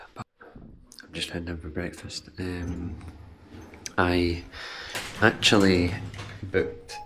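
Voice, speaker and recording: Amid noticeable background noise, a man with a very deep, low pitch speaks at a very slow pace in a monotone, flat way, with long, frequent pauses and big swings in loudness. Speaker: amateur runner vlogger. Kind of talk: casual vlog. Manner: hesitant with fillers.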